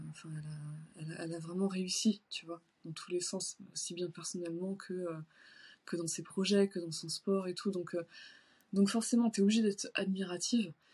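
Against a quiet background, a woman speaks in a somewhat breathy, medium-pitched voice at a moderate pace with fairly even intonation. She takes long, frequent pauses, and her loudness swings widely. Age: 30s. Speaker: shoe designer and bodybuilding competitor. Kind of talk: casual interview. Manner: hesitant, many fillers.

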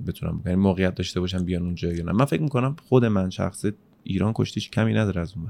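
A man's very deep, low voice at a very fast pace. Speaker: podcast host. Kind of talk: casual interview.

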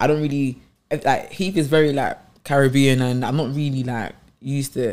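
A man with a London accent speaks with fairly even intonation. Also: fairly high pitch for a man, moderate pace. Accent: London multicultural English. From south London. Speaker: podcast host. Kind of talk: casual chat.

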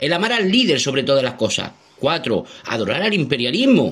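A man speaks at a fairly high pitch. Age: 40s. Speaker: political activist. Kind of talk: voice message.

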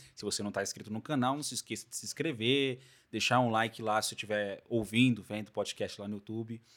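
A man talks very fast in a medium pitch, with big swings in loudness. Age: 20s. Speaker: podcast host. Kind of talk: casual chat. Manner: animated.

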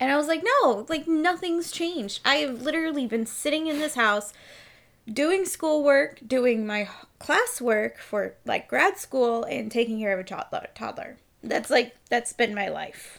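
Using a put-on character voice, a woman speaks slowly-ish, at a fairly slow pace, with a raspy, high pitch. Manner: tense, irritated, wound up.

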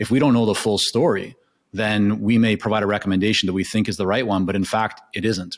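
The intonation stays fairly even in a very clean recording with a silent background. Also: man. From Canada. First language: Hebrew. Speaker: consulting business founder. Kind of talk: casual interview.

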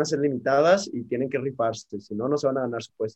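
At a fairly quick pace, the voice moves with ordinary pitch variation. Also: man. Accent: Mexican. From Guadalajara, Mexico. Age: 20s. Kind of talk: casual chat.

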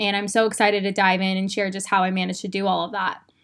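Speaking with a Western US accent, a woman uses a medium pitch and an upbeat, animated tone that sounds bright and sharp. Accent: General American, western US. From Arizona, Phoenix. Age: 20s. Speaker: podcast host. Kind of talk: casual solo podcast talk.

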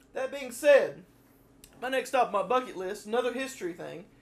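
A man with a Southern US accent, at a moderate pace, with ordinary pitch variation. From US South. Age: 20s. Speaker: podcast co-host, college student. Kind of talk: casual chat.

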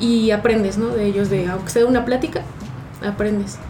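A woman speaks at medium pitch with fairly even intonation. The room echo is audible and background noise is noticeable. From Mexico City. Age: 30s. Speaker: barista. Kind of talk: casual interview chat.

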